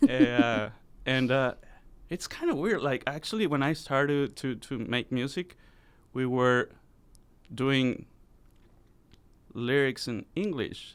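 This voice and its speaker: A man speaks at a very slow pace with a Spanish accent, his pitch medium and its variation ordinary. Long pauses come often. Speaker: musician. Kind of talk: radio interview. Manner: casual, halting with many fillers.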